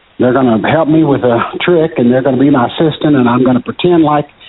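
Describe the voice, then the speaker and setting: With a Kentucky accent, a man talks at a fairly quick pace, his fairly high pitch held in fairly even intonation. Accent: Kentucky Southern US. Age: 60s. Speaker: magician. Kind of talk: casual interview. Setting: phone call.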